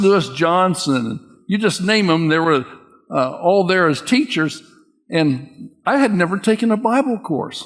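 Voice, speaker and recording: A man with an American accent speaks at a fairly slow pace in a high pitch. His voice makes very wide pitch swings. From Kansas, US Midwest. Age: 80s+. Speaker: missionary and Bible teacher. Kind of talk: teaching talk with interview.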